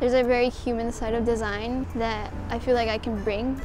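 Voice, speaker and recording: A fairly high female voice at a very fast pace, monotone and flat, dry with no echo, over noticeable background noise. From Mexico, raised in Houston, Texas; Mexico. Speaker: art student. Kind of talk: application video monologue. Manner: casual, with filler words. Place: cafe. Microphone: lapel.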